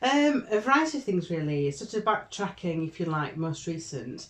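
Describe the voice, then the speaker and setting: The speaker has a Yorkshire accent and keeps to a moderate pace. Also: woman. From northern England, Barnsley (Yorkshire). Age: 60s. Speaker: Methodist deacon. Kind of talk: casual interview. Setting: office.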